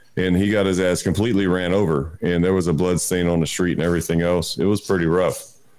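Talking very fast with hardly any pauses, a man with a very deep, low voice keeps a flat, monotone intonation and very even loudness, with audible room echo. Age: 40s. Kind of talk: casual chat.

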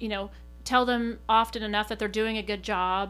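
In a very clean recording with a silent background, a woman with an American accent speaks at a very fast pace. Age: 40s. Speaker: coffee shop manager. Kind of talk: casual group conversation. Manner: extroverted, laughs often.

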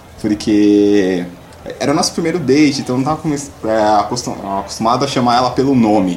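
Noticeable background noise accompanies a man with a medium pitch. He speaks at a moderate pace with lively intonation. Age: 20s. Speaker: stand-in co-host, podcast listener. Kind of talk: casual chat.

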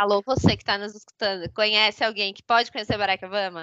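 Using an ordinary speaking voice, a woman talks at a fairly quick pace. Her pitch is medium. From southern Brazil, São Leopoldo. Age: 30s. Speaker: podcast co-host. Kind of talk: casual chat.

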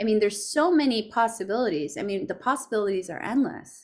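Over a very clean recording with a silent background, a woman speaks in a normal speaking voice at a moderate pace with lively intonation. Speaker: podcast host and founder. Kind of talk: interview.

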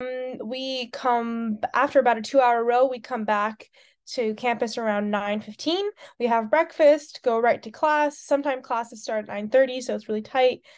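A woman speaks at a moderate pace in an American accent, her high pitch varying in an ordinary way. Her loudness swings widely against a quiet background. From United States. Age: 20s. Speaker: student athlete, rower. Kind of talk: interview.

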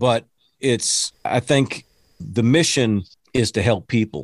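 With an American accent and vocal fry, a man at medium pitch is captured with a dry, close sound, no echo and a quiet background. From Texas. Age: 50s. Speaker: motivational speaker and preacher. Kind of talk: casual interview.

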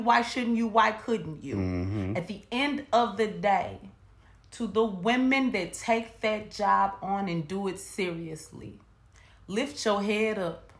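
With audible room echo, a woman at medium pitch speaks in an animated tone at a fairly slow pace. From US South. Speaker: podcast co-host. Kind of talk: casual chat.

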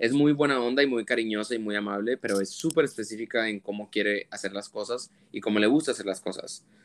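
Moving at a fairly quick pace, a man with a plain, everyday voice holds a medium pitch and fairly even intonation. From Monterrey, Mexico. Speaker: fashion photographer. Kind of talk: interview conversation.

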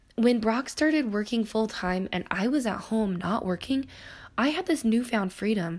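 A woman speaks in an animated tone at a fairly high pitch. Her intonation is lively, her pace moderate and her voice somewhat breathy. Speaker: podcast host. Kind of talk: casual monologue. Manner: animated, laughing often.

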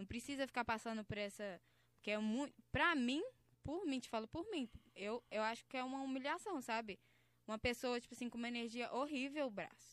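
High in pitch, a woman talks at a fairly quick pace. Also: ordinary pitch variation. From Belo Horizonte, Brazil. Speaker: funk MC. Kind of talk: casual interview chat. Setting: studio.

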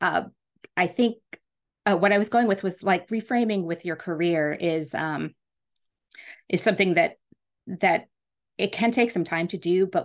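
A woman with a fairly low pitch and ordinary pitch variation talks at a moderate pace over a quiet background. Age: 40s. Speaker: podcast host and business coach. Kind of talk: solo podcast monologue. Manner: casual, many filler words.

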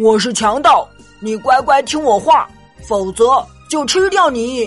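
A gruff, put-on character voice with lively intonation at a fairly slow pace, over faint music in the background. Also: woman, high pitch for a woman. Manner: threatening.

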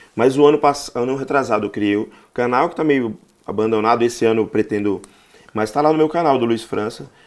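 A man's medium-pitched voice at a very fast pace with ordinary pitch variation. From Bahia, Brazil, raised in Rio de Janeiro. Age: 40s. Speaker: stand-up comedian. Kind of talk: casual interview chat.

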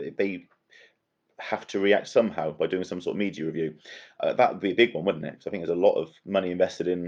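A man with a West Country accent speaks over a quiet background. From Bristol, south-west England. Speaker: marketing and communications professional. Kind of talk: casual chat.

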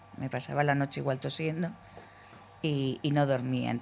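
A woman's very deep, low voice at a moderate pace with fairly even intonation. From Spain, Logroño (La Rioja). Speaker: COPD patient. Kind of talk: patient testimony.

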